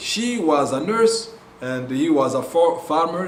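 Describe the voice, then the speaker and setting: A man's very slow, lively speech with a Congolese accent, audible room echo and noticeable background noise. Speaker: missionary ministry leader. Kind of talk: testimony. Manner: halting, many fillers.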